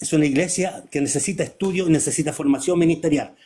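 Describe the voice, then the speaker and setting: A man talks at a fairly quick pace with a fairly high pitch. His is an unremarkable speaking voice. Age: 60s. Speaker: preacher. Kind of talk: casual chat.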